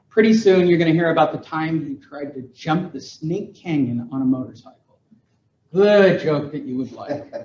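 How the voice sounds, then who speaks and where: A man with an American accent and an unremarkable speaking voice talks at a moderate pace. His pitch is fairly high with ordinary variation, and his loudness swings widely. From California. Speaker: real estate educator and speaker. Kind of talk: seminar presentation to live audience.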